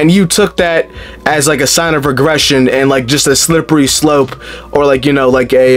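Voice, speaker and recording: A man at a moderate pace over faint background music. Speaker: reaction streamer. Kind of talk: casual reaction commentary. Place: home room.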